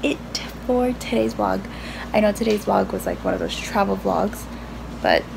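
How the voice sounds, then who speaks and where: Noticeable background noise fills the space behind this woman's voice. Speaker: vlogger. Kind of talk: casual vlog chat. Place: home room. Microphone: phone near.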